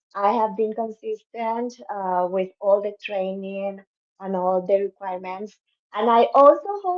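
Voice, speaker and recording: A woman speaks at a fairly slow pace in a Spanish accent. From Cuba. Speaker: dentist, business member. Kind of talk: self-introduction on livestream. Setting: video livestream.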